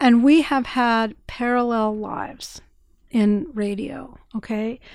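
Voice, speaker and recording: A woman with a normal speaking voice and an American accent, pitched fairly high. Her intonation stays fairly even, and the recording is very clean with a silent background. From northern Indiana. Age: 60s. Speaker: public radio station manager. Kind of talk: radio interview. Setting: radio studio.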